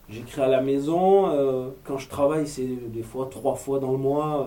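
With noticeable background noise and audible room echo around him, the man keeps to a medium pitch and fairly even intonation. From Marseille, southern France. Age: 30s. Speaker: actor and screenwriter, former police officer. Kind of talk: interview.

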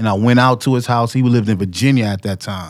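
This man talks at a moderate pace with a medium pitch and ordinary pitch variation. The recording is very clean, with a silent background. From New York City (Harlem). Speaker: hip-hop producer. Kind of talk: casual chat.

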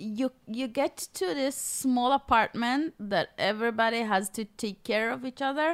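Speaking with an Israeli accent at a high pitch and a fairly slow pace, a woman hardly pauses, with ordinary pitch variation and a dry, close sound with no echo. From Israel, Golan Heights. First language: Hebrew. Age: 30s. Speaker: author and former mall cart seller. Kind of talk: interview.

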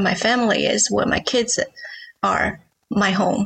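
A woman with a Chinese accent speaks at a very slow pace. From China. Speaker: novelist. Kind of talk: interview.

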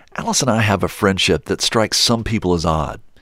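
An ordinary speaking voice from a man with an American accent, fairly low pitch and ordinary pitch variation, on a very clean recording with a silent background. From West Virginia, Charleston. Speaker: podcast host. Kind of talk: narrated documentary podcast.

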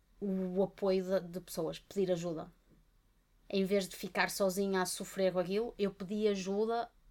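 A woman talks in a European Portuguese accent. Her intonation is monotone and flat. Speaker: podcast co-host, art therapist. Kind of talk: casual chat.

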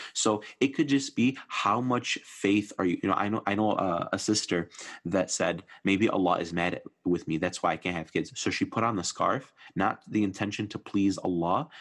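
A man with an American accent talks in a normal speaking voice at a moderate pace, fairly low in pitch and with ordinary pitch variation. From US Midwest. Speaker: preacher and nonprofit mental health worker. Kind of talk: casual religious discussion.

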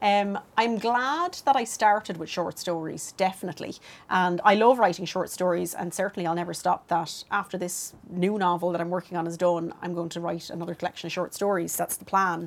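With a Dublin accent, a woman speaks at a fairly low pitch and fairly quick pace, her intonation fairly even and hardly any pauses in her speech. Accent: Dublin Irish. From Dublin, Ireland (Clondalkin). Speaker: fiction writer. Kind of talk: casual chat.

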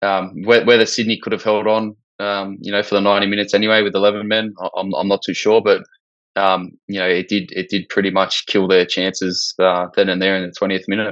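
Fairly low-pitched and fairly quick, a man speaks with an Australian accent and monotone, flat intonation. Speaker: football podcast co-host. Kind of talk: casual chat.

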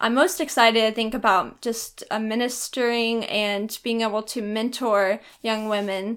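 A woman's unremarkable speaking voice, fairly high-pitched and fairly even in intonation, at a moderate pace with hardly any pauses, on a very clean recording with a silent background. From Texas. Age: 20s. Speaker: college student. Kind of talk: casual interview.

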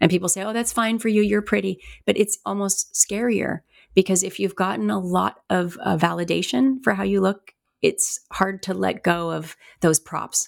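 A woman at a moderate pace, with a dry, close sound, no echo, and a very clean recording over a silent background. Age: 50s. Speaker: life and spiritual coach, hypnotherapist. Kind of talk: interview.

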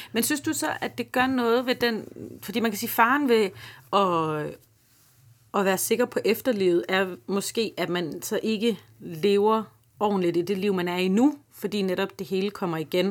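A woman uses an ordinary speaking voice, medium in pitch with ordinary pitch variation, at a fairly slow pace. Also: very clean recording, silent background. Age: 30s. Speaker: comedian and podcast host. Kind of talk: interview conversation.

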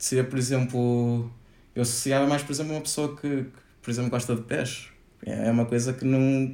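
His pitch sits in the middle range and his pace is moderate. This man's delivery stays monotone and flat. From northern Portugal. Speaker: podcast guest. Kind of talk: casual interview.

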